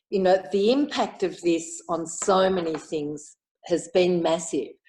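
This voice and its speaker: Using an Australian accent, a woman speaks at a fairly slow pace in a medium pitch, with ordinary pitch variation. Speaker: Inner Wheel club member. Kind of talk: casual interview chat.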